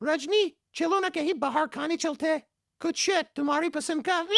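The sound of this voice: A squeaky, cartoonish character voice from a woman, extremely high in pitch, at a moderate pace with very even loudness and a dry, close sound with no echo.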